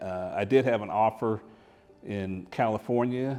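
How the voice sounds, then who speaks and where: Over music in the background, the speaker talks at a moderate pace in an American accent. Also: man. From Oklahoma (Tulsa), after Air Force childhood. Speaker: retired electrical engineer. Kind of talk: interview testimony.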